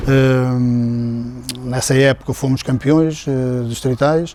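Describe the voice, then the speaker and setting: A man talks at a very slow pace with a medium pitch over noticeable background noise. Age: 60s. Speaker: former footballer. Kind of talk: interview testimony. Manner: halting, many fillers.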